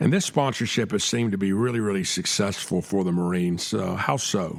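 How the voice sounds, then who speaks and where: With a Southern US accent, a man speaks at a fairly quick pace in a fairly low pitch with ordinary variation. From US South, Atlanta, Georgia. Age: 60s. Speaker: podcast host. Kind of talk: interview. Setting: studio.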